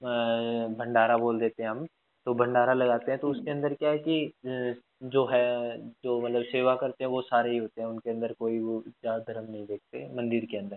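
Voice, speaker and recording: Here a man has a normal speaking voice, pitched at a medium level with fairly even intonation. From Haryana, Fatehabad district. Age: 20s. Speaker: podcast host. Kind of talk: casual interview chat.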